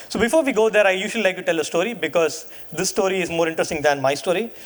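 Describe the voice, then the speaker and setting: Over noticeable background noise, a man talks at a very fast pace with a high pitch and ordinary pitch variation. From India. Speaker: data science leader, conference speaker. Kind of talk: keynote talk. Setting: stage with audience.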